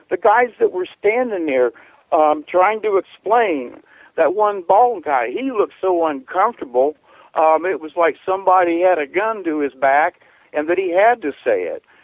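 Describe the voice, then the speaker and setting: With lively intonation, a man talks at a moderate pace in a high pitch. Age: 60s. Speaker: caller to talk radio. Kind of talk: call-in discussion. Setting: phone call.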